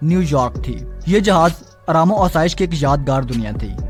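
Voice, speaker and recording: A man's fairly high voice has ordinary pitch variation, with music playing in the background. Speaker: channel host narrating facts. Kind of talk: documentary-style storytelling narration.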